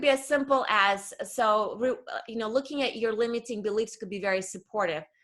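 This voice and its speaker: Speaking at a fairly quick pace with a slight non-native accent, a woman uses lively intonation and a bright, sharp tone at a fairly high pitch. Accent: slight foreign. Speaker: career coach. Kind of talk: interview conversation.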